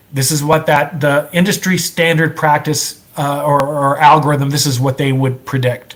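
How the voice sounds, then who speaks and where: Noticeable background noise sits behind a man speaking with a fairly high pitch and fairly even intonation. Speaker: software entrepreneur presenter. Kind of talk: presentation. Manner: fast; halting with repetitions.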